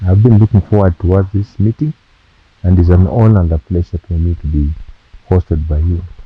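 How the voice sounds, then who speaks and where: Very deep and low, this man's voice is somewhat breathy. He talks at a fairly quick pace with ordinary pitch variation. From western Kenya, Kakamega. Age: 60s. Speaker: university professor. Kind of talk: interview.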